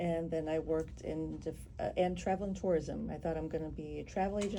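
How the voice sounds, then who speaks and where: Audible room echo surrounds the recording. A woman talks at a very fast pace. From Germany (West Berlin), Polish family; Chicago from 14. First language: Polish and German. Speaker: photographer. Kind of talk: radio interview.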